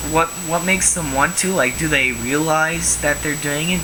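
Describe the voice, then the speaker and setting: A man talks at a moderate pace while noticeable background noise and audible room echo carry through the recording. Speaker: vlogger. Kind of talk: rant vlog. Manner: repetitive, stammering.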